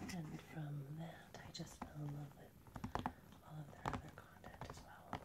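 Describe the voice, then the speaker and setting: A woman whispers at a moderate pace, her loudness swinging widely. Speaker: ASMR creator. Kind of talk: ASMR unboxing, whispered and soft-spoken talk to camera. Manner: whispered, soft-spoken.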